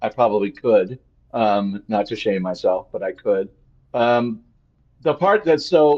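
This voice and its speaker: The delivery is fairly slow, with lively intonation and long, frequent pauses. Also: man, medium pitch for a man. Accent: American. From California, Ventura County. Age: 60s. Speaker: fire evacuee. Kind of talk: interview. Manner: halting, repetitive.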